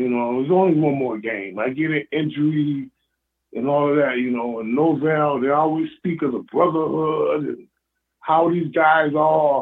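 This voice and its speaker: A man with an American accent speaks at a moderate pace in a fairly high pitch with ordinary pitch variation, in a plain, everyday voice. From Western New York. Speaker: caller, fan. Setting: phone call.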